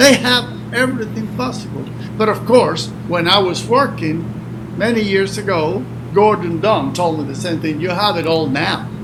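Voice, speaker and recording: Over noticeable background noise and with audible room echo, the speaker's pitch swings very widely at a moderate pace. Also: man, high pitch for a man. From Cuba. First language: Spanish. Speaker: retired hurricane forecaster. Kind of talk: interview conversation.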